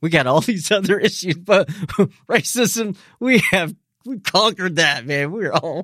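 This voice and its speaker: On a very clean recording with a silent background, a man speaks at a moderate pace, his pitch swinging very widely. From Arkansas, Little Rock. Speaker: pastor. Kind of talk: casual chat.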